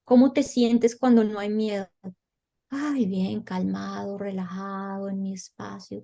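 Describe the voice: A woman with a Colombian accent speaks at a fairly slow pace and medium pitch, in a dark, mellow tone with vocal fry and fairly even intonation.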